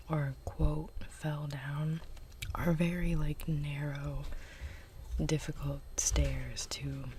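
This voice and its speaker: Long, frequent pauses break up very slow speech, with noticeable background noise behind it. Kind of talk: ASMR chit chat. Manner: soft-spoken.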